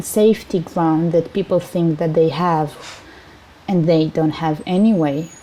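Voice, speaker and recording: This woman's voice has a dark, mellow tone, a fairly low pitch, and fairly even intonation. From Siberia, Russia. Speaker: interviewee. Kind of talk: interview. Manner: halting.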